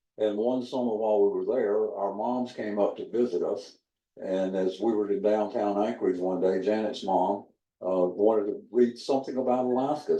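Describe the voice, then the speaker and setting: With a Southern US accent, a man talks at a moderate speed. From South Carolina. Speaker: museum docent. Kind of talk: panel introduction. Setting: rooftop deck with audience.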